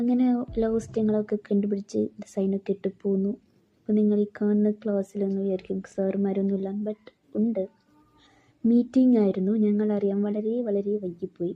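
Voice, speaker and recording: This woman's medium-pitched voice holds a monotone, flat intonation throughout. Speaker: college student. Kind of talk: casual vlog voiceover.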